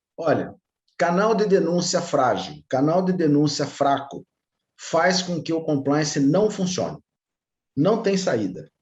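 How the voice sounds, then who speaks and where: A man with an interior São Paulo accent talks at a very slow pace, with a fairly high pitch and vocal fry. His pitch variation is ordinary, broken by long, frequent pauses. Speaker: compliance consultant. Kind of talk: webinar talk. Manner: animated.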